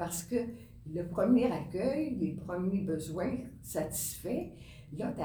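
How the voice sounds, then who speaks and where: A woman speaks at a very slow pace with lively intonation, and room echo is audible. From Quebec. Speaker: nun and social worker. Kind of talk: interview. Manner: halting, repeats words.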